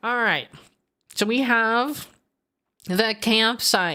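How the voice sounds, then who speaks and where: Loud and bright with a sharp tone, a woman speaks. The recording is very clean with a silent background. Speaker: gaming streamer. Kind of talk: casual livestream gameplay chat. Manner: animated.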